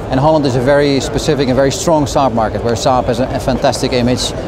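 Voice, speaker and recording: With a Dutch accent, a man talks in a monotone, flat intonation. Audible room echo and noticeable background noise fill the recording. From Netherlands. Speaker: car company communications director. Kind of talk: interview. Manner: hesitant with many fillers.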